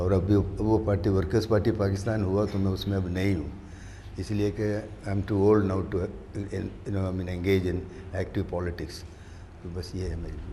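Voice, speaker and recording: At a moderate pace, a man speaks in a very deep, low, somewhat breathy voice with a dark, mellow tone and monotone, flat intonation, with audible room echo. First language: not Urdu (speaking Hindi). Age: 80s+. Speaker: political activist. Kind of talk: panel discussion. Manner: halting.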